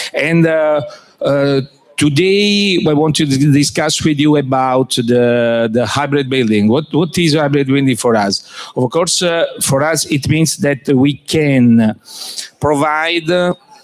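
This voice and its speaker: Very slow and at a very even loudness, a man talks with an Italian accent and ordinary pitch variation. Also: fairly high pitch for a man. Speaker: company executive presenting. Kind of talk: business presentation. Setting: trade fair pavilion with audience. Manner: halting, many fillers.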